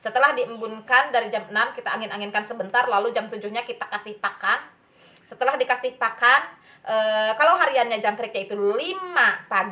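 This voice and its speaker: Over noticeable background noise, a woman with a strong Sundanese accent speaks in a fairly high pitch with ordinary pitch variation. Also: fairly quick pace. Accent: strong Sundanese accent in Indonesian. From West Java (Sundanese). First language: Sundanese (speaking Indonesian). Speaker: bird keeping vlogger. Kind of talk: casual tutorial. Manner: halting, many fillers.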